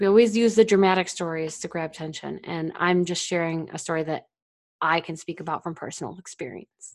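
A woman with a plain, everyday voice, fairly low in pitch, speaks at a fairly quick pace with fairly even intonation in a very clean recording with a silent background. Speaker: podcast host and founder. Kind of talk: storytelling monologue, narrating a dramatic story. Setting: solo monologue to listeners.

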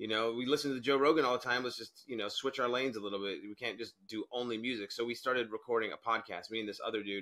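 Speaking with an American accent, a man goes at a very fast pace with hardly any pauses. His tone is bright and sharp, and his intonation fairly even. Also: medium pitch for a man. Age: 20s. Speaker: stand-up comedian. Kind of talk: casual chat.

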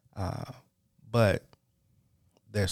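In a very clean recording with a silent background, a man with a fairly low pitch talks at a moderate pace. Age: 30s. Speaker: podcast host. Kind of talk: solo monologue, motivational talk. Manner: unscripted, halting with fillers.

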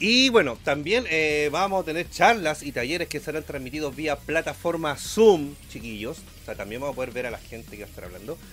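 A man's fairly high voice at a fairly quick pace, with very wide pitch swings, big swings in loudness and hardly any pauses. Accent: Chilean. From Chile, Santiago. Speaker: podcast co-host. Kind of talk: casual chat.

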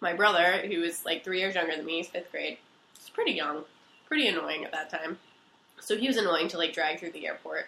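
Over noticeable background noise, a woman speaks with an American accent and a fairly low pitch. Her intonation is fairly even, while her loudness swings widely. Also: fairly quick pace. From Pennsylvania. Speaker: college student telling a personal story. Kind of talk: casual storytelling. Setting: recording on a couch at home. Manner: fast, run-on.

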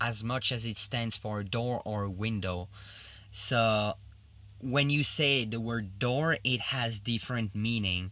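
Very slowly, a man with a French accent speaks at medium pitch in a bright, sharp tone. The recording is very clean against a silent background. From Belgium, Liège (French-speaking). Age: 30s. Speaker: chef. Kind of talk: interview.

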